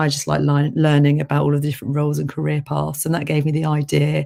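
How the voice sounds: A woman talks at a fairly quick pace in a low voice with a dark, mellow tone and vocal fry. Her pitch moves very little.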